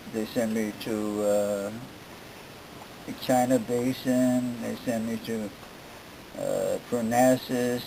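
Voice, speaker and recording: A man at medium pitch, very slow and monotone, with flat intonation, long and frequent pauses, and noticeable background noise. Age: 70s. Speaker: cancer patient. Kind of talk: interview answer. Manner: halting, hesitant.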